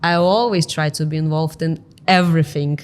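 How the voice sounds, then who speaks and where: A woman speaks with a Lithuanian accent. Her intonation stays fairly even. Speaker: real estate company director. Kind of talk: interview.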